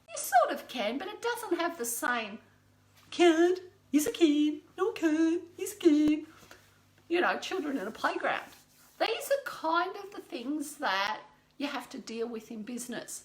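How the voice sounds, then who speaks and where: A woman with an Australian accent speaks at a moderate pace, her high voice making very wide pitch swings and big swings in loudness. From Australia, rural Victoria (Creswick). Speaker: business mentor. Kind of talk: live stream talk. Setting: Facebook live video, standing. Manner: rambling, self-correcting.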